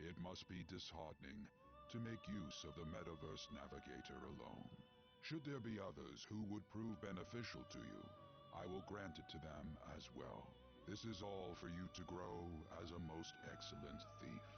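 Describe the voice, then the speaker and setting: Over loud background music, a man puts on a character voice with a very deep, low pitch, talking at a moderate pace. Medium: game stream. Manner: formal, stately.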